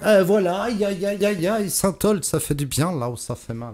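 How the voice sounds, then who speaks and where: A man with a high pitch and lively intonation at a fairly slow pace, over noticeable background noise. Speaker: radio host. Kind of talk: morning radio show bloopers.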